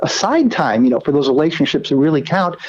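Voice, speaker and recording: Speaking very fast, a man with an American accent uses lively intonation. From United States. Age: 60s. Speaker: psychologist and author. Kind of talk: interview. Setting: radio show.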